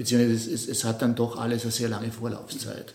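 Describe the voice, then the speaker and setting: A man speaks at a medium pitch. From Austria, Innsbruck. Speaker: multimedia artist. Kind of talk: interview. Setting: artist's studio. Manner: halting, many repetitions and fillers.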